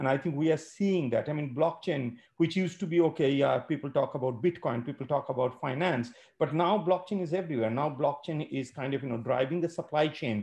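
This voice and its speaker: A man talks with ordinary pitch variation and a somewhat breathy voice. Light background noise sits behind him. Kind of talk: welcome remarks. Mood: grateful, enthusiastic. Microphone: video call.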